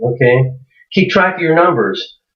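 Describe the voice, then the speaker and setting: The speech moves at a fairly slow pace with ordinary pitch variation. The voice is somewhat breathy. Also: man. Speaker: internet marketer. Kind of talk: tutorial. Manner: halting, many fillers.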